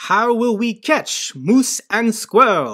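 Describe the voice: At a very slow pace, a female-sounding voice uses a put-on character voice with a fairly high pitch.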